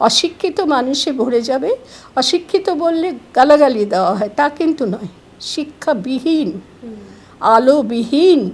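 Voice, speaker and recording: This woman speaks at a high pitch with very wide swings up and down. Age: 70s. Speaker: educationist. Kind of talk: interview. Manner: formal.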